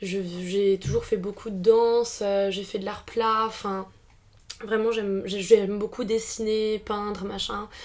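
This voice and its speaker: A woman of medium pitch speaks in a monotone with flat intonation. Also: fairly slow pace. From France, Alsace. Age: 20s. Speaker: philosophy student. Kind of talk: podcast interview. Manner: hesitant, many fillers.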